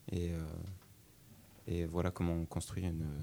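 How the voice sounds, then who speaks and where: A man with a very deep, low pitch and a dark, mellow tone speaks in a monotone, flat intonation. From France, Tours. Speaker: law student, contest organizer. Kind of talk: radio interview. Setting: radio studio.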